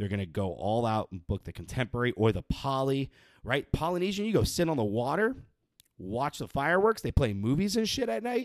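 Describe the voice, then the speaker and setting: An animated tone at a fairly quick pace with very wide pitch swings, in a very clean, dry, close recording with a silent background and no echo. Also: man, medium pitch for a man. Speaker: podcast host. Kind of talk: angry rant. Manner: worked-up, sweary, exasperated, barreling through points with sarcastic emphasis; animated, loud, punchy, ranting at parents.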